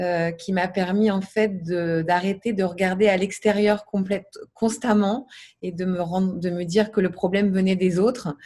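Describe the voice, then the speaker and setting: Against a quiet background, a somewhat breathy woman of medium pitch speaks at a fairly slow pace with fairly even intonation. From Paris region, France. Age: 30s. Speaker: massage therapist, coaching client. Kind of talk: testimony. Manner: halting, many fillers.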